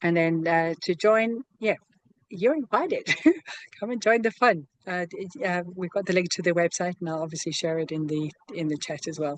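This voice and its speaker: The sound is dry and close, with no echo. A woman speaks at a fairly low pitch with ordinary pitch variation. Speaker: online community founder and program co-creator. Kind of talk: video call presentation. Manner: fast; animated.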